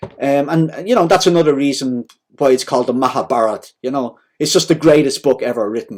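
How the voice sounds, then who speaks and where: Ordinary pitch variation runs through this fairly quick delivery. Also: man, fairly high pitch for a man. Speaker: devotional speaker. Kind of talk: informal talk on scripture. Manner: loud; casual, conversational.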